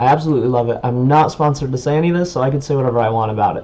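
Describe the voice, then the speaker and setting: With noticeable background noise behind him, a man speaks in an enthusiastic tone with ordinary pitch variation. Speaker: YouTuber reviewing tech. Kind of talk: product review vlog. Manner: loud; casual, enthusiastic. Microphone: webcam built-in mic.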